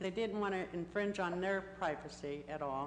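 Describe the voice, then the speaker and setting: A woman speaks at medium pitch and a moderate pace, with ordinary pitch variation. Audible room echo surrounds her voice. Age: 60s. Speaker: member of the public speaking at a council meeting. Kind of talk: public comment testimony. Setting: city council chamber.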